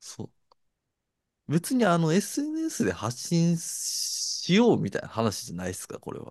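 This man talks at a fairly slow pace. His loudness swings widely. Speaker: podcast co-host, works at clubs and live houses. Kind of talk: casual chat. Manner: one fixed way of talking.

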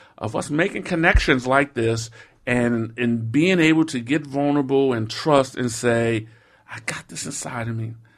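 A man at medium pitch and moderate pace, ordinary pitch variation, on a very clean recording with a silent background. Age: 50s. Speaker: social entrepreneur, nonprofit leader. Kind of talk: interview conversation. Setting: studio. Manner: halting, many fillers.

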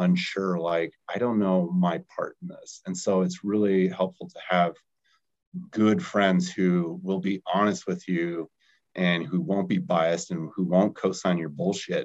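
Very deep and low, a man's voice carries an American accent, fairly even intonation, and a moderate pace. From Colorado, US. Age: 30s. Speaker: startup founder, recovering alcoholic. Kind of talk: casual chat.

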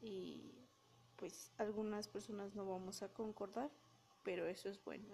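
Over noticeable background noise, a woman talks at a fairly slow pace and medium pitch. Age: 20s. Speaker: podcast host. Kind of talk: casual monologue. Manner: halting.

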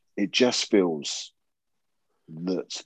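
A man speaks with a Southern English accent. The sound is dry and close, with no echo. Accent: Southern English, living in Yorkshire. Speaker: podcast co-host. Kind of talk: casual chat. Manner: joking, swears casually.

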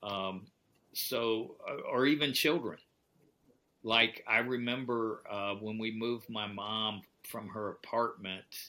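The voice has a bright, sharp tone. Its intonation stays fairly even. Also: man. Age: 70s. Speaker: author and pastor. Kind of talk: casual chat.

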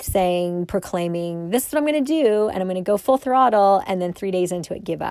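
A woman's animated, medium-pitched voice with an American accent, in a very clean recording over a silent background. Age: 50s. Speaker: podcast host, fitness and health coach. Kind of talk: solo podcast monologue.

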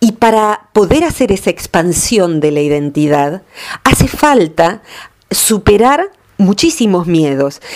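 Very slowly, a woman with a medium pitch speaks with very wide pitch swings while her loudness stays very even. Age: 50s. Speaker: radio columnist. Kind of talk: radio talk segment.

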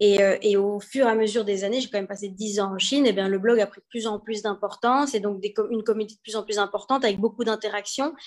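Speaking at a very fast pace with hardly any pauses, this voice keeps a fairly even intonation while its loudness swings widely. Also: woman, fairly high pitch for a woman. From Belgium. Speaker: entrepreneur, event founder. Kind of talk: interview. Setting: live video stream.

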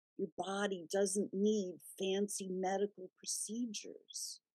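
At a very slow pace, a woman of medium pitch speaks in a gentle, soothing, dark and mellow tone with fairly even intonation. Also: dry, close sound with no echo. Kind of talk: guided meditation. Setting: radio show. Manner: slow, soothing and calm; gentle and reassuring, with unhurried pauses.

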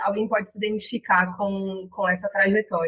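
A woman speaks with a bright, sharp tone. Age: 30s. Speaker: podcaster. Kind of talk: interview.

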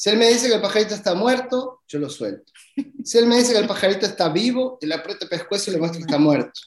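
A man talks at a very fast pace with a high pitch. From Uruguay, Montevideo. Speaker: immigrant sharing life story. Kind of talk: interview.

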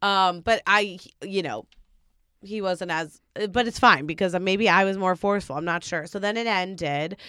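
In a very clean recording with a silent background, a woman speaks at medium pitch and a moderate pace, her tone bright, sharp and animated, with ordinary pitch variation. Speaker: podcast co-host. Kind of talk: casual chat.

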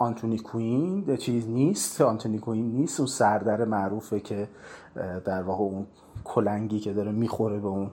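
This man's voice sits fairly low in pitch and has a dark, mellow tone. He talks at a moderate pace with ordinary pitch variation. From Iran, Tehran. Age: 40s. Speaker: film critic and university lecturer. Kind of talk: personal narrative.

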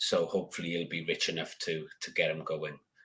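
The speaker is a man with an English accent. He keeps a moderate pace. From UK. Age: 40s. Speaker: gardening YouTuber and author. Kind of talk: casual chat. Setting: video call.

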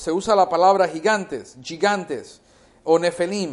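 A man's high-pitched voice at a very slow pace over a quiet background. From United States. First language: English (speaking Spanish). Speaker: bible teacher. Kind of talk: bible teaching. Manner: halting, many fillers and repeats.

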